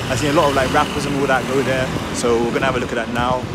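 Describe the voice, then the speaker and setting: The speech moves at a very fast pace with music in the background. The sound is dry, with no echo. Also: man. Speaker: vlogger. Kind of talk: casual vlog chat. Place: street. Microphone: earbuds.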